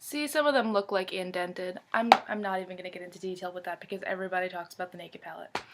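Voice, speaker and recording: A woman at a medium pitch speaks at a very fast pace with hardly any pauses and ordinary pitch variation. Her loudness swings widely, and music plays in the background. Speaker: beauty vlogger. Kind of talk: casual chat. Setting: home bedroom.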